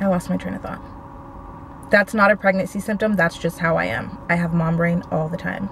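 In a normal speaking voice, a woman talks at a fairly quick pace with fairly low pitch and fairly even intonation, the sound dry with no echo and light background noise. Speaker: vlogger. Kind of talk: casual vlog chat. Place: car. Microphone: phone near.

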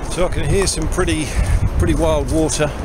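Music plays in the background as a man speaks with a dry sound with no echo. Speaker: hiker vlogger. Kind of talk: casual vlog chat. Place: forest. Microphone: phone near.

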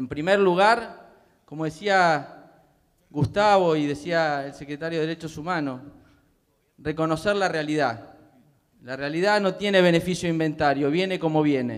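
A man with a fairly high pitch and ordinary pitch variation, at a fairly slow pace with long, frequent pauses, against a quiet background. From Buenos Aires province, Argentina. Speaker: public ombudsman; public panelist. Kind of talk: speech at panel. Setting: theatre stage with audience. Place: stage. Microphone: handheld.

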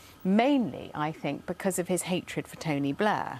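Lively intonation marks this woman's speech at a moderate pace. The sound is dry with no echo. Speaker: talk show guest. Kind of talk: talk show discussion. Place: studio. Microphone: lapel.

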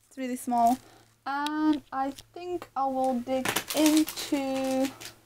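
A woman's high-pitched voice against noticeable background noise. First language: not English. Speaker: vegan lifestyle vlogger. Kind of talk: casual talk to camera. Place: home room. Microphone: phone near.

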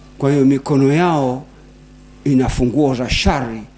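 The speaker is a man. Noticeable noise runs in the background. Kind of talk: sermon. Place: hall. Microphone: handheld.

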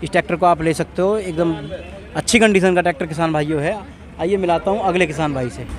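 A man speaks with a high pitch and fairly even intonation. His pace is fairly quick, over light background noise. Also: dry sound with no echo. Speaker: tractor market video host. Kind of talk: casual vlog commentary and interview questions. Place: market. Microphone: phone near.

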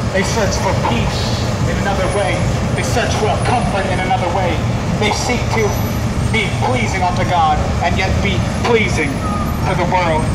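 Moderate pace with long, frequent pauses over loud background noise. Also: man. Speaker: street preacher. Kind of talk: sermon. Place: street.

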